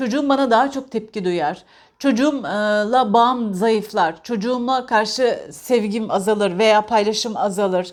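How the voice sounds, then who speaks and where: A woman talks with a fairly high pitch. The recording is very clean and the background is silent. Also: ordinary pitch variation, hardly any pauses. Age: 40s. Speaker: parenting vlogger, parent. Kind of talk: casual monologue, book discussion. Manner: halting, many filler sounds.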